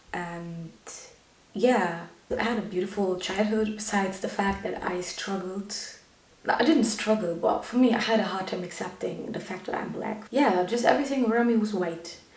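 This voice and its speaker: Amid noticeable background noise and audible room echo, a woman speaks at a medium pitch and a moderate pace with ordinary pitch variation. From Germany. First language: Tigrinya. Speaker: YouTuber. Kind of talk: personal vlog monologue.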